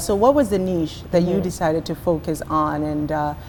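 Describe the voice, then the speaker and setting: A woman speaks with ordinary pitch variation. Noticeable background noise runs beneath her. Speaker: interviewer. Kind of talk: interview questions.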